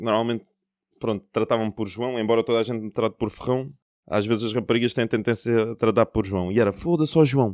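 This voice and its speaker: Recorded very cleanly against a silent background, with a dry, close sound and no echo, a man of medium pitch talks at a very fast pace in a fairly even intonation. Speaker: podcast host. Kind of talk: casual chat.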